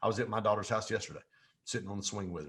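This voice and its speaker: Against a quiet background, a man with an American accent sounds somewhat breathy. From US Midwest and Mississippi. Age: 50s. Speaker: business coach and real estate professional. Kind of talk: podcast interview. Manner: animated.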